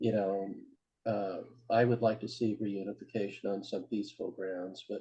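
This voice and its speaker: Fairly low in pitch and dark, mellow in tone, a man with an American accent keeps a fairly even intonation. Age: 70s. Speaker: peace activist and military veteran. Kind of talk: discussion at a community meeting. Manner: hesitant with many fillers.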